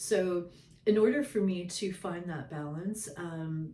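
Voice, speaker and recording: Somewhat breathy delivery with ordinary pitch variation. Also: woman. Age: 60s. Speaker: spiritual storyteller, shaman. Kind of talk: casual monologue to camera. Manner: hesitant, many fillers.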